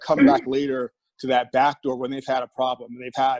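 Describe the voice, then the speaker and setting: A man's ordinary speaking voice, an ordinary speaking voice at a fairly high pitch for a man, moderate in pace, with a dry, close sound and no echo. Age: 60s. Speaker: fitness professional. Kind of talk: testimony.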